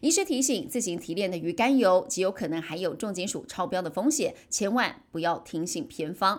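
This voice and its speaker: On a very clean recording with a silent background, a woman speaks at a moderate pace with very wide pitch swings. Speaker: news anchor. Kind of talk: news reading. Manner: formal.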